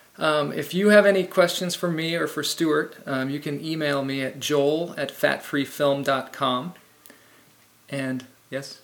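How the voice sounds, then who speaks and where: Against noticeable background noise, a man speaks very slowly at a fairly high pitch, his intonation fairly even. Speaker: film show host. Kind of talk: interview.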